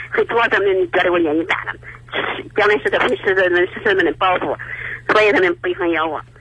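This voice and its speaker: A high-pitched man talks fairly quickly, his intonation lively, while noticeable noise sits in the background. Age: 80s. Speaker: caller seeking advice. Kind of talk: call-in advice conversation. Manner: halting, repeats words.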